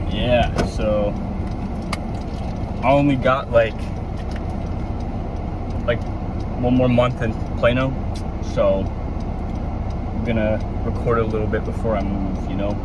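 Delivered at a fairly slow pace with long, frequent pauses, the speech sits in loud background noise with a dry sound and no echo. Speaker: fitness vlogger. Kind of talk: casual vlog chat. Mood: relaxed, joking. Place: car. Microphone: phone near.

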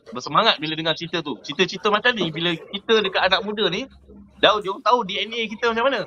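A man talks at a very fast pace, his pitch high. Noticeable background noise runs underneath. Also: ordinary pitch variation. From Malaysia, Kuantan Pahang. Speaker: merchant navy officer. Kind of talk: casual chat.

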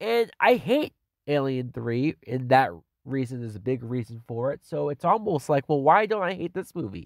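In an animated tone, the speaker moves at a moderate pace with very wide pitch swings, on a very clean recording with a silent background and a dry, close sound with no echo. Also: man, fairly high pitch for a man. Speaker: movie reviewer. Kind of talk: angry rant. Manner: animated, indignant.

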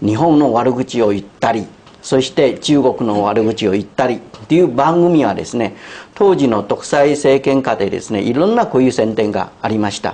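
Lively intonation colors the speech of a man talking at a moderate pace. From Taiwan. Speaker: commentator. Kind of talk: panel discussion. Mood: earnest, critical. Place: studio. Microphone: lapel.

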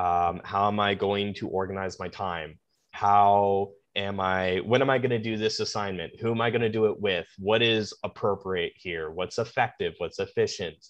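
A man with an ordinary speaking voice, fairly low pitch, fairly even intonation and a moderate pace against a quiet background. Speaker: podcast guest. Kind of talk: interview answer. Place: home room. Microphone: video call.

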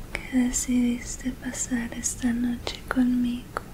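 Noticeable background noise accompanies a woman's high-pitched voice. Her intonation is monotone and flat. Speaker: ASMR creator. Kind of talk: ASMR positive affirmations. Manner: whispered; soft, affectionate. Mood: warm, affectionate. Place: home room. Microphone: studio mic.

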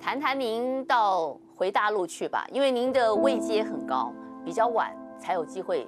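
Over clear music in the background, a woman speaks at a fairly slow pace. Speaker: news interviewer. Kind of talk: interview questions. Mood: polite, respectful. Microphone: lapel.

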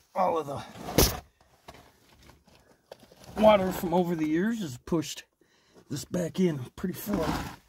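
Against noticeable background noise, a man with a high pitch and ordinary pitch variation speaks at a fairly slow pace, the sound dry with no echo. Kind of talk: casual narration while exploring. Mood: excited but cautious. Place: tunnel cave. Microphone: phone near.

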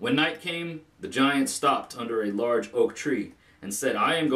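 Simple, plain reading aloud.

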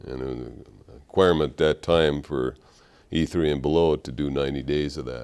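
With an Upper Midwest accent, a man talks in a very deep, low voice with fairly even intonation against a quiet background. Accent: Upper Midwest American. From Minnesota. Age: 50s. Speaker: war veteran. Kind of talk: interview testimony. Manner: halting. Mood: calm, reflective. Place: studio. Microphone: lapel.

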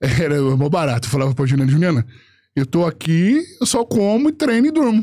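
Over a quiet background, a man talks at a fairly quick pace with a fairly high pitch, very wide pitch swings, very even loudness and a dark, mellow tone. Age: 40s. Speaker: bodybuilder and content creator; content creator. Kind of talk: casual chat. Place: studio. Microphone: studio mic.

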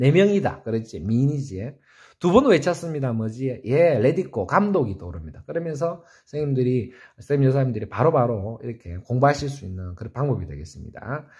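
An animated, somewhat breathy man at a medium pitch, with very wide pitch swings and big swings in loudness, against a quiet background. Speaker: saxophone teacher. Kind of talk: tutorial. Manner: fast. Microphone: phone near.

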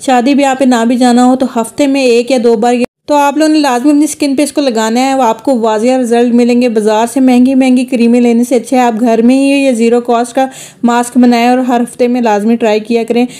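With hardly any pauses, a woman speaks in a high pitch with monotone, flat intonation. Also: moderate pace. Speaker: home beauty tips creator. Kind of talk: tutorial. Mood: persuasive, encouraging.

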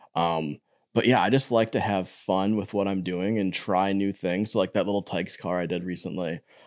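A man's very deep, low voice with ordinary pitch variation and a moderate pace, in a very clean recording with a silent background and a dry, close sound with no echo. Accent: Wisconsin. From Wisconsin, Door County. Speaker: artist and muralist. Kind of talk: interview.

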